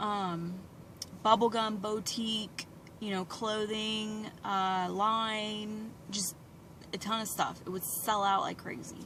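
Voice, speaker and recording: A woman's fairly high, bright, sharp voice in a flat monotone at a very slow pace, with audible room echo. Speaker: beauty products seller. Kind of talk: personal vlog. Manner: rambling, off-track.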